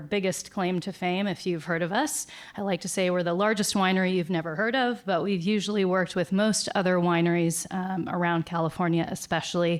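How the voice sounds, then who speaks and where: A woman's medium-pitched voice at a fairly quick pace, with fairly even intonation and hardly any pauses, on a very clean recording with a silent background. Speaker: winery marketing executive, conference panelist. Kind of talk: conference panel presentation. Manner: fast.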